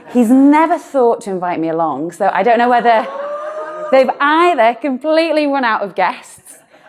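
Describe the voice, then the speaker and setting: An animated, high-pitched woman with a Merseyside accent, very wide pitch swings and a moderate pace, over noticeable background noise. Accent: northern English (Merseyside). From northern England, Birkenhead. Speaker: doctor and talk speaker. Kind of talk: live talk to an audience. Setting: stage with audience.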